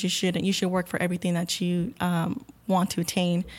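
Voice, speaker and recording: With an American accent, a woman talks at a fairly quick pace in a normal speaking voice, her pitch medium. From Rio Grande Valley, South Texas. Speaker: medical center employee, scholarship alumna. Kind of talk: interview conversation.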